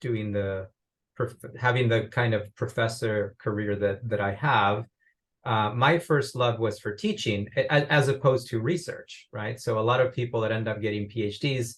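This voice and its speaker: A man with a Spanish accent and a somewhat breathy voice speaks at a moderate pace and medium pitch, his intonation fairly even. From Uruguay. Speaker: business professor. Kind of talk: interview.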